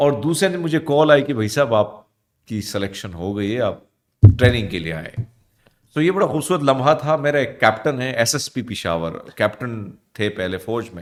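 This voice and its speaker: A man's voice with very wide pitch swings and big swings in loudness. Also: medium pitch for a man. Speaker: news anchor and radio host. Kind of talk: interview. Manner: casual.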